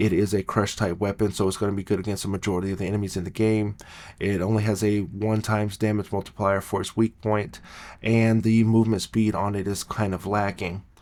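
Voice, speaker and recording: At a fairly quick pace, a quiet voice speaks in a monotone, flat intonation on a very clean recording with a silent background. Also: man, fairly low pitch for a man. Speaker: gaming youtuber. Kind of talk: gameplay tutorial. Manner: quiet, low-voiced.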